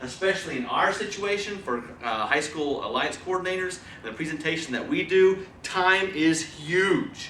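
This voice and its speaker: Over noticeable background noise and audible room echo, a man with a high pitch speaks in a raised, projected voice, animated in tone, with lively intonation and hardly any pauses. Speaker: presentation skills trainer. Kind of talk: training lecture. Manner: fast.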